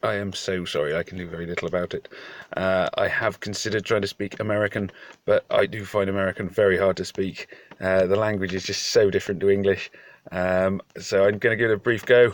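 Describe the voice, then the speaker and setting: Very fast, monotone speech from a man with a British accent, fairly low in pitch, in a dry, close sound with no echo. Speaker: farmer, video presenter.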